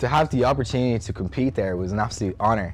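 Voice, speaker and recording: A man with an Irish accent, music playing in the background. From Ireland, Dublin. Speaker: bodybuilder. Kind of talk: documentary interview. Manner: animated.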